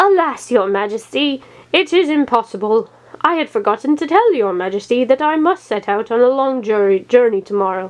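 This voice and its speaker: A woman puts on a character voice with a high pitch and very wide pitch swings, moving at a moderate pace. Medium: read story. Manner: blustering.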